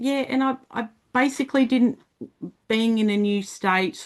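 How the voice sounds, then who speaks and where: In an Australian accent, a woman speaks at a fairly slow pace over a quiet background. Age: 50s. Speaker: motorcycle community founder. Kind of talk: podcast interview.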